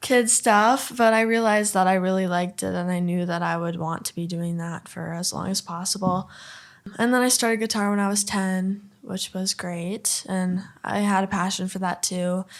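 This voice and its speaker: With a northern US accent, a woman speaks at a moderate pace with fairly even intonation. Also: medium pitch for a woman. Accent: northern US accent, noticeable. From Minnesota, Duluth. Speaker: country singer-songwriter. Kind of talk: podcast interview.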